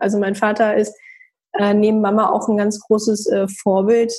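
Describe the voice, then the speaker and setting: Speaking at a moderate pace with fairly even intonation, a woman uses a normal speaking voice pitched fairly high. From northern Germany, Hamburg. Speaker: entrepreneur and network founder. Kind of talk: interview.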